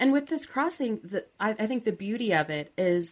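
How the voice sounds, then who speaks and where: Speaking at a fairly slow pace in a plain, everyday voice, a woman with an American accent keeps a medium pitch and lively intonation. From Southern California. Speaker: podcast host. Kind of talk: interview.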